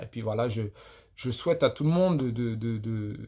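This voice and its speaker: A man talks with lively intonation on a very clean recording against a silent background. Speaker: podcaster. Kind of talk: casual monologue. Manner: halting, many repetitions; unscripted, off the cuff.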